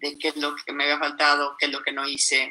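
With a Mexican accent, a woman speaks in a very deep, low pitch with a bright, sharp tone. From Mexico. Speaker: mountaineer. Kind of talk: interview. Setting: live stream.

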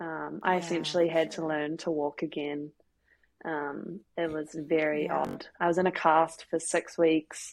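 A woman's voice sits very deep and low. Her intonation is monotone and flat. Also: fairly slow pace. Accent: New Zealand. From New Zealand, Christchurch. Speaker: professional footballer. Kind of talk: casual interview.

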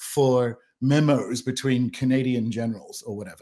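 A man speaks with an Australian accent. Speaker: author and podcast host. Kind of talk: casual chat.

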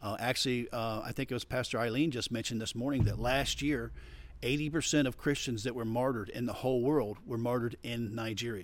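A man with an American accent talks at a fairly quick pace in a normal speaking voice with fairly even intonation. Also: medium pitch for a man. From Florida. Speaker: pastor and missionary. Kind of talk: interview.

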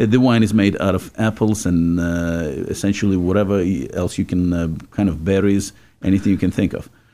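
A man with a very deep, low pitch, a dark, mellow tone and a Czech accent, at a fairly quick pace with fairly even intonation, on a very clean recording over a silent background. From Czechoslovakia. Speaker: radio host. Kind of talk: casual chat. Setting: studio.

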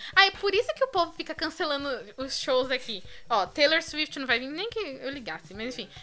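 A woman's raised, projected voice, high in pitch, with very wide pitch swings, big swings in loudness, and a moderate pace. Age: 20s. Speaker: podcast co-host. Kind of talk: casual chat.

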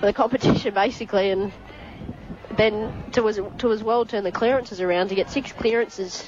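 The speaker has an Australian accent and talks at a fairly quick pace. Noticeable background noise runs under the voice. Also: woman. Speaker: co-commentator. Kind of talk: casual match analysis.

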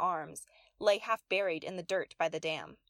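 In a dry, close sound with no echo, a woman with a medium pitch and an ordinary speaking voice talks at a moderate pace with ordinary pitch variation. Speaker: poet reading own poem. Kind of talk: poetry reading aloud, spoken-word narrative poem. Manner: playful, tongue-twisting wordplay with alliteration and rhyme, storyteller delivery.

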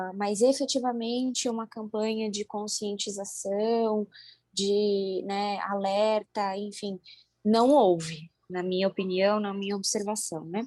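Here is a woman with a dark, mellow tone and fairly even intonation. The sound is dry and close, with no echo. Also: medium pitch for a woman. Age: 20s. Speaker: doctor. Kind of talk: interview. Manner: halting.

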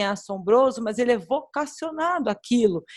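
A somewhat breathy, fairly high-pitched woman's voice at a moderate pace, with lively intonation. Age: 40s. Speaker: pastor. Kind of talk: casual chat.

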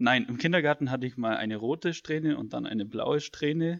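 This man has an unremarkable speaking voice with ordinary pitch variation. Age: 20s. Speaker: student podcast co-host. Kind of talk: casual chat.

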